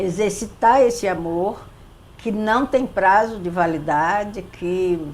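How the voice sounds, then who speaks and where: Audible room echo surrounds a woman speaking at a very slow pace. Her pitch is medium, with ordinary variation. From Brazil, Recife (Pernambuco). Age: 70s. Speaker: psychologist and spiritist center leader. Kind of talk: interview.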